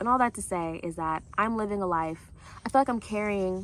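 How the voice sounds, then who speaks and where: A woman with a medium pitch and ordinary pitch variation talks at a moderate pace. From US Midwest, St. Louis. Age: 20s. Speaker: travel vlogger. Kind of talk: casual vlog monologue. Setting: outdoors. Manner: casual, hesitant with fillers.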